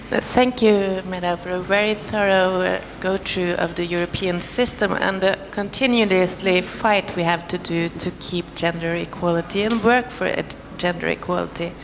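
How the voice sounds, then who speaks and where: A woman speaks with a Norwegian accent at a medium pitch and a moderate pace, her intonation fairly even and her speech hardly pausing, over noticeable background noise. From Norway. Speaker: panelist, film professional. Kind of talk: panel discussion. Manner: halting.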